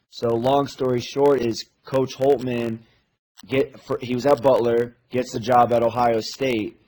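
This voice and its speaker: A man with an American accent speaks at a fairly slow pace in a medium pitch. His tone is dark and mellow, his intonation monotone and flat. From US Midwest. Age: 20s. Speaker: college basketball assistant coach. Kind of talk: casual chat.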